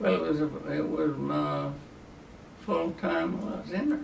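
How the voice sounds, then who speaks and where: The pace is fairly slow. Noticeable background noise is present throughout. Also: man. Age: 90s. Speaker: army veteran. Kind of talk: interview answer.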